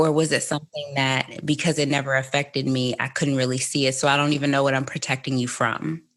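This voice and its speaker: A woman with an American accent speaks at a fairly quick pace in a very deep, low pitch against a quiet background. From United States. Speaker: podcast host. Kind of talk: casual interview chat.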